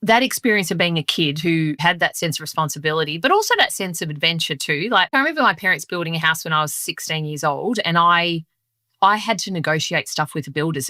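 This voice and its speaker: In an Australian accent, a woman speaks at a very fast pace with lively intonation and a bright, sharp tone, in a very clean recording with a silent background and a dry, close sound with no echo. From Melbourne, Australia. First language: Sicilian dialect of Italian. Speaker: leadership guest. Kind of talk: interview.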